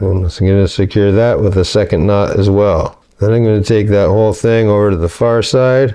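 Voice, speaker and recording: Fairly low in pitch, a man with an American accent and an ordinary speaking voice talks at a moderate pace. His intonation is fairly even, his loudness very even, and there are hardly any pauses. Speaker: home cook and food video creator. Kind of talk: tutorial. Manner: casual, conversational.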